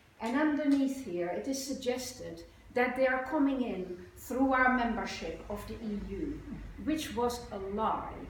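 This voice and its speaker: A woman speaks fairly slowly at a high pitch with ordinary pitch variation. There is audible room echo and noticeable background noise. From Netherlands. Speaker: psychotherapist. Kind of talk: conference speech. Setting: conference with audience.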